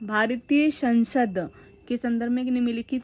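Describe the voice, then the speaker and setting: Over noticeable background noise, a woman speaks at a very slow pace with a fairly high pitch and fairly even intonation. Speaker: educational YouTuber. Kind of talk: tutorial.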